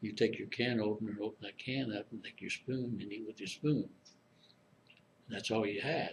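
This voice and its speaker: A somewhat breathy man with an American accent, fairly quick but with long, frequent pauses and fairly even intonation. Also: medium pitch for a man. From Springfield, Illinois. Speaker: Korean War veteran. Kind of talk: oral history interview answer. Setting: interview room, library.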